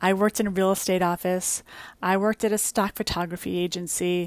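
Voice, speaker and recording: With an American accent, a woman speaks at a medium pitch and with fairly even intonation. The very clean recording has a silent background and a dry, close sound with no echo. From US Northeast, the Bronx, New York. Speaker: podcast host and beauty entrepreneur. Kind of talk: personal storytelling monologue. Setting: in a beach tent.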